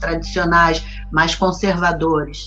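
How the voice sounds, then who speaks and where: Very slow speech from a woman, music playing behind. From Rio de Janeiro, Brazil. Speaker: actress. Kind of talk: interview answer.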